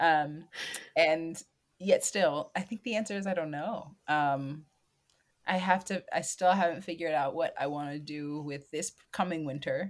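This is a plain, everyday voice, a woman's, fairly low with ordinary pitch variation. She speaks fairly slowly in an American accent. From Washington, D.C. area, US. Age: 20s. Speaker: stage manager and landscaper. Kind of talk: interview. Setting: remote call.

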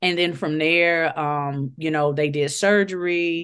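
A woman with an American accent and fairly even intonation against a quiet background. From Chicago, Illinois (West Side). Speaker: guest sharing faith testimony. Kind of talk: personal testimony in casual interview.

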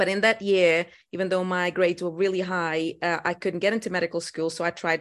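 Against a quiet background, a woman with a Portuguese accent speaks at a fairly low pitch with fairly even intonation. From Portugal. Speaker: dentist. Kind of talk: interview. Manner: halting.

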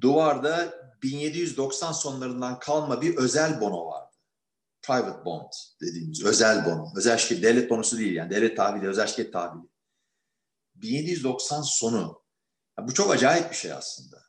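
A man at a medium pitch and a moderate pace, with vocal fry, very wide pitch swings and audible room echo. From Turkey, Istanbul. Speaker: economist. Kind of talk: interview.

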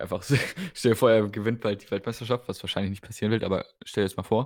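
This man talks at a very fast pace in a fairly low pitch. His pitch varies in an ordinary way. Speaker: darts podcast co-host. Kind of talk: casual chat.

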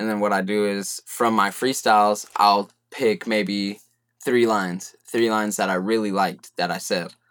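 At a moderate pace, a man with a fairly low pitch and an American accent speaks in a monotone, flat intonation on a very clean recording with a silent background. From California, Central Valley (Merced). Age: 20s. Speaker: hip-hop artist. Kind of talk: casual chat.

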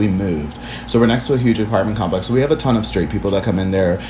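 A man's fairly low voice in an American accent, with very wide pitch swings, audible room echo and noticeable background noise. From Washington DC. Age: 20s. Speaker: dance artist and body positivity advocate. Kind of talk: casual chat.

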